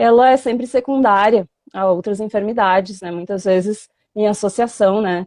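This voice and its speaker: A woman with a dark, mellow tone and a southern Brazilian accent speaks at a moderate pace in a dry, close sound with no echo. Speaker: veterinary professor. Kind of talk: online lecture. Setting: live stream video call.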